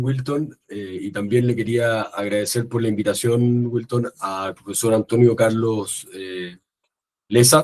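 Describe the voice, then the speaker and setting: A man speaks in a normal speaking voice at a medium pitch, fairly slowly, with fairly even intonation. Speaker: political science professor. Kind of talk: academic lecture.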